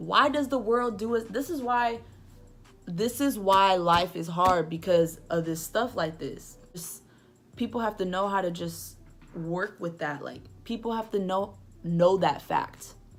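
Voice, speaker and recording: An ordinary speaking voice, a woman at medium pitch, fairly slow pace and ordinary pitch variation. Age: 20s. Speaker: book reviewer vlogger. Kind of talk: casual vlog book review.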